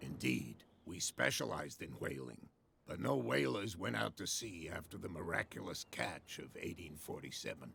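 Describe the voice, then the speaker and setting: A man puts on a character voice that is raspy and very deep, speaking at a moderate pace with lively intonation. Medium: video game. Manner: proud, guarded.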